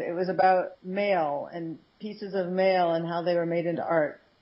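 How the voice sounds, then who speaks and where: This woman has an American accent and a medium pitch. She speaks at a moderate pace. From San Francisco, US. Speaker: copywriter and blogger. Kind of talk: interview.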